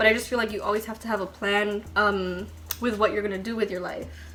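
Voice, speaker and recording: A woman's fairly high voice with music in the background. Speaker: beauty vlogger. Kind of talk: makeup tutorial with casual chat. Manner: fast; says um a lot.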